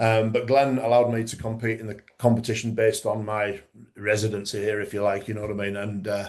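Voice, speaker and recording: In a Yorkshire accent, a man speaks at a very fast pace with a fairly low pitch and monotone, flat intonation. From Yorkshire, northern England. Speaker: strongman referee and former competitor. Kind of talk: casual interview chat. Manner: halting, many repetitions and fillers.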